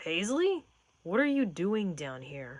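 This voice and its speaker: A put-on character voice at a middle pitch swings very widely up and down. The pace is fairly slow. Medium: read story. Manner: warm, enthusiastic.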